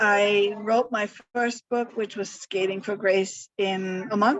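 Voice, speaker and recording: A woman talks at a very slow pace with a medium pitch. Her pitch varies in an ordinary way. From Germany, Hamburg. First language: German. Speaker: author. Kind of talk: interview. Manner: halting, many fillers.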